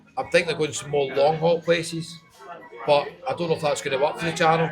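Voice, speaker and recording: A man talks very quickly, his pitch fairly high, with noticeable noise behind him. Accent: Scottish. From Scotland. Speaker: travel vlogger. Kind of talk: casual interview.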